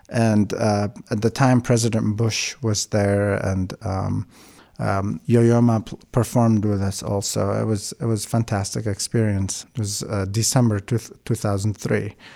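A fairly low-pitched man at a fairly slow pace, flat and monotone, on a very clean recording with a silent background. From Iraq, Baghdad. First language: Aramaic (Chaldean). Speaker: violinist and music student. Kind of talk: interview. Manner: halting, many fillers.

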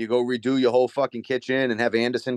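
A man with a Boston accent speaks very fast at medium pitch in a dry, close sound with no echo. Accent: Boston-area Massachusetts. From Massachusetts, Merrimack Valley. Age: 30s. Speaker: window salesman and real estate investor. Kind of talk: casual chat.

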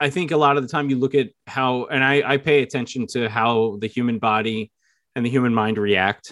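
At a moderate pace, a man talks with a New York accent and fairly even intonation. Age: 30s. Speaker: English teacher and horror author. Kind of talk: casual interview chat.

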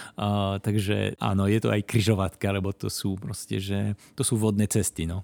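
Speaking at a moderate pace with hardly any pauses, a man keeps a fairly low, monotone, flat delivery, the sound dry and close with no echo on a very clean recording with a silent background. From Belgium, Flanders. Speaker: project coordinator. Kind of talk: casual chat. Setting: in-person recording in Košice. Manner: halting.

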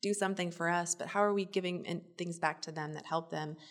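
With an American accent, a woman speaks at a very fast pace in a fairly low pitch, using ordinary pitch variation. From Minnesota. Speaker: real estate association executive. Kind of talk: interview.

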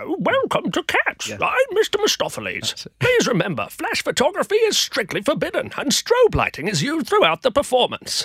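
Delivered in a put-on character voice, this high-pitched speech moves at a moderate pace with hardly any pauses.

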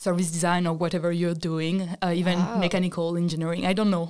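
A woman with a French accent, a fairly low pitch and monotone, flat intonation. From France. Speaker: design student. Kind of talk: casual chat.

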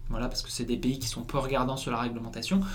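Room echo and noticeable background noise surround a man's voice. He speaks at a medium pitch with fairly even intonation. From northern France, Lille. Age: 20s. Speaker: eco-game founder. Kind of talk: casual interview.

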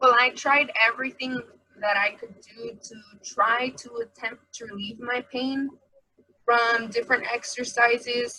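In an unremarkable speaking voice, fairly high in pitch, a woman speaks at a fairly slow pace with fairly even intonation. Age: 20s. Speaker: college student, cannabis patient. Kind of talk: personal testimony.

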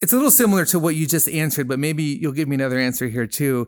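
The pace is very fast, with ordinary pitch variation. The recording is very clean, with a silent background. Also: man. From Peru. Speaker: podcast host. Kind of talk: casual chat.

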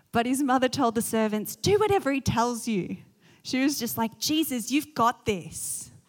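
On a very clean recording with a silent background, a woman with an Australian accent speaks at a fairly high pitch with lively intonation. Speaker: pastor. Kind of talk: sermon.

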